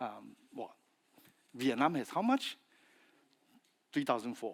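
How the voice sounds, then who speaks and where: A man speaks at a fairly slow pace with a Chinese accent. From China (Fujian). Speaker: industry speaker, feed additive specialist. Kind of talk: conference presentation. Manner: halting, with fillers and repetitions.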